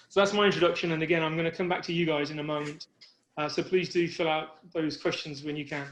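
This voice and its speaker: With a British accent, a man races along at a very fast pace, his fairly high voice monotone and flat. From UK. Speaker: project risk manager. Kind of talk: webinar presentation. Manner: halting, many fillers.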